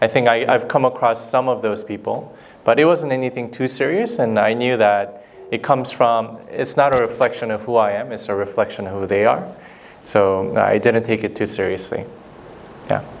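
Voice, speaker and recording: A man with a Korean accent at a medium pitch and moderate pace, fairly even intonation, long, frequent pauses and noticeable background noise. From South Korea. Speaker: documentary filmmaker, former lawyer. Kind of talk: Q&A with students after screening. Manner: hesitant, many fillers.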